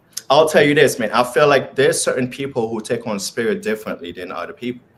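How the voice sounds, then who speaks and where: With a Haitian accent, a man talks at a very fast pace in a fairly high pitch. His pitch swings very widely, and his loudness shifts in big swings. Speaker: spiritual speaker. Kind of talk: casual chat.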